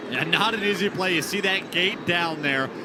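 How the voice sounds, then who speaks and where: A man speaks at a moderate pace in a raised, projected voice. Noticeable background noise runs behind him. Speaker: baseball color commentator. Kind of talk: sports color commentary.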